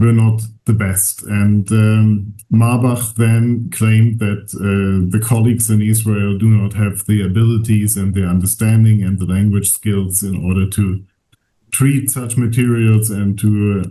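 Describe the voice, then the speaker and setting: Amid audible room echo, a man with a German accent speaks fairly slowly in a dark, mellow, somewhat breathy voice, fairly low in pitch and monotone, with flat intonation. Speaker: archivist. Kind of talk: lecture. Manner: halting, many fillers.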